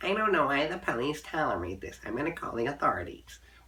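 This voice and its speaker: A man's put-on character voice, fairly high-pitched and very fast. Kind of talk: prissy, upper class. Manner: indignant.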